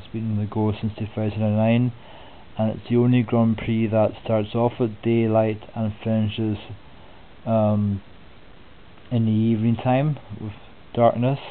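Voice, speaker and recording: Speaking in a Scottish accent, the voice moves at a fairly slow pace with monotone, flat intonation and long, frequent pauses. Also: man, medium pitch for a man. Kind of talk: soft-spoken sports preview narration. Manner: soft-spoken, relaxed.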